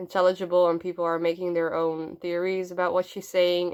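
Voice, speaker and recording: Medium-pitched woman at a moderate pace, very clean recording with a silent background. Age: 20s. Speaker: youtuber doing cosplay and character voices. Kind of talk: casual Q&A vlog. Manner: hesitant, many fillers.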